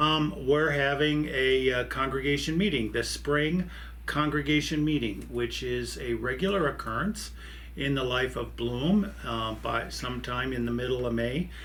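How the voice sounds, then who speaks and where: A man speaks with an American accent at a moderate pace. Room echo is audible. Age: 60s. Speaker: pastor. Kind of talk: church video announcements. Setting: office desk. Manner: halting, many fillers.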